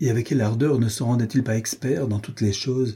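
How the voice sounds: With fairly even intonation, the speaker uses a natural reading voice.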